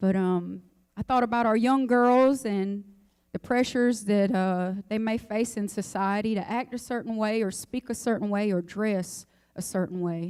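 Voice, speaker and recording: Against a silent background in a very clean recording, a woman talks at a moderate pace in a fairly high pitch with fairly even intonation. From North Carolina, Robeson County (Pembroke). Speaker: singer. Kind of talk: speech before song performance.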